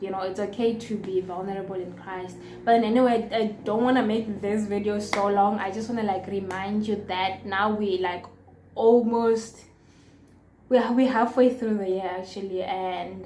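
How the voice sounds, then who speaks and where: At medium pitch and a moderate pace, a woman speaks in a flat monotone with audible room echo. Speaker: vlogger. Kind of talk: casual vlog talk to camera.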